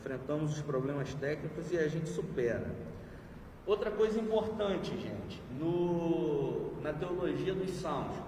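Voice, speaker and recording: Amid audible room echo and noticeable background noise, a man with a high pitch talks at a fairly slow pace with ordinary pitch variation. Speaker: pastor teaching a Bible class. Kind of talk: lecture.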